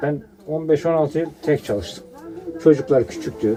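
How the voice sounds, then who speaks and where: Music plays in the background as a man speaks in a fairly high pitch. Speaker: worker at the travertine site. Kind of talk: casual conversation.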